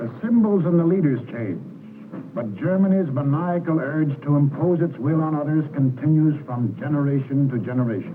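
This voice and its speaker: A man talks at a moderate pace with lively intonation and a fairly high pitch. There is noticeable noise in the background. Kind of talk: wartime propaganda documentary narration.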